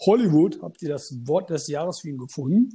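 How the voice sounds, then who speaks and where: At a moderate pace, the voice has a dark, mellow tone, somewhat breathy, with ordinary pitch variation. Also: man. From Münster, Germany. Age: 30s. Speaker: fantasy football player, podcast guest. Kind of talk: casual interview chat.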